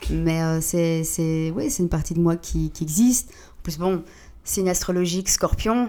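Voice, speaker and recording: Speaking very slowly, a woman uses a fairly low pitch and a dark, mellow tone. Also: ordinary pitch variation. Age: 30s. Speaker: DJ. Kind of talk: casual chat.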